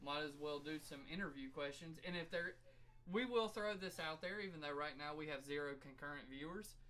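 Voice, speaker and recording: A man's fairly high-pitched, bright and sharp voice at a fairly quick pace, with ordinary pitch variation and audible room echo. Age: 30s. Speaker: podcast co-host, amateur rapper. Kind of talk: casual chat.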